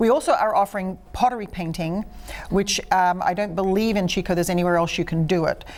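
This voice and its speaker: Someone with an Australian accent talks at a very fast pace. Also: woman, medium pitch for a woman. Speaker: artist and studio owner. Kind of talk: interview. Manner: animated.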